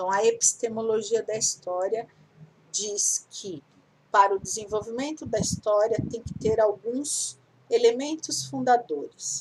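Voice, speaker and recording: A woman with a plain, everyday voice speaks fairly slowly at a fairly high pitch, her intonation lively and her loudness swinging widely. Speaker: teacher. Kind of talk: lecture.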